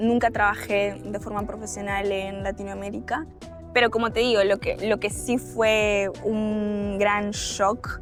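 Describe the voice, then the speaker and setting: With music playing in the background, a woman speaks at a very slow pace in a Uruguayan accent. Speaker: government trade officer. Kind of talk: interview answer.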